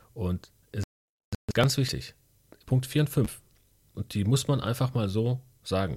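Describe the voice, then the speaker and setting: The intonation is lively and the voice somewhat breathy. The recording is very clean, with a silent background. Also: man. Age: 30s. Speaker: podcast co-host. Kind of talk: casual chat.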